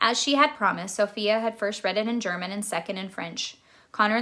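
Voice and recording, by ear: Someone reads aloud in a natural voice.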